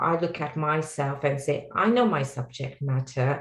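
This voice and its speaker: A woman speaks with a Sri Lankan accent, her voice somewhat breathy. Her pace is fairly slow. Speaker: technology executive. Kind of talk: panel discussion.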